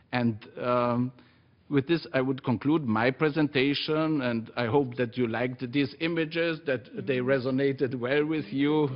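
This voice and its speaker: Speaking at a fairly slow pace with a fairly even intonation, this voice comes with a Slovene accent. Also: man, medium pitch for a man. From Austria, Carinthia. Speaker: civil society organization representative. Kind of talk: conference presentation. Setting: UN conference chamber with audience. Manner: halting, many filler sounds.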